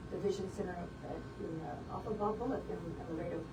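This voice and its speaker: Speaking very fast with an American accent, a woman is heard amid noticeable background noise and audible room echo. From South Texas (Beeville, Bee County). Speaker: optometrist. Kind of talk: interview.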